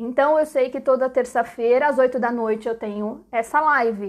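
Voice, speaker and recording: With ordinary pitch variation, a woman talks in a high-pitched voice. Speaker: online business educator. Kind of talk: live-streamed lecture. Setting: live stream. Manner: casual, chatty.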